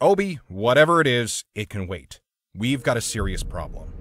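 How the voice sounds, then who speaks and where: Putting on a character voice, a man speaks at medium pitch. His pace is moderate. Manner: brisk, impatient.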